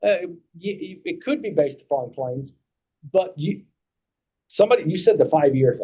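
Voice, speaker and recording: With a Kentucky accent, a man speaks with big swings in loudness. He leaves long, frequent pauses. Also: moderate pace. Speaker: insurance agent. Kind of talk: committee meeting discussion.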